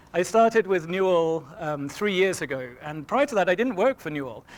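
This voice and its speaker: Here a man talks at a fairly quick pace with a high pitch. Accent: English. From England. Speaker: engineering manager. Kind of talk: seminar talk. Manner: hesitant, many fillers.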